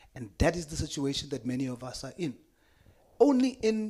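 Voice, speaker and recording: A man speaks in a South African accent. His pitch swings very widely. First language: Afrikaans. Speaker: politician. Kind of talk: committee hearing statement.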